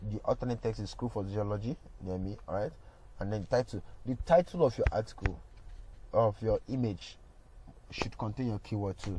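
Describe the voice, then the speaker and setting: Somewhat breathy, a man speaks at a moderate pace with a fairly low pitch. His pitch varies in an ordinary way, and he takes long, frequent pauses. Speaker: digital marketing instructor. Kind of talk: tutorial. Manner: casual, halting with fillers.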